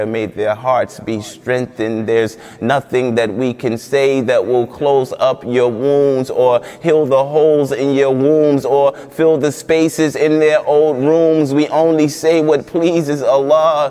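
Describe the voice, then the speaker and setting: The man talks at a very slow pace with an American accent. His intonation stays fairly even. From United States. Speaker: spoken word poet. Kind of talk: spoken word poetry performance. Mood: somber, grieving, impassioned. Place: studio.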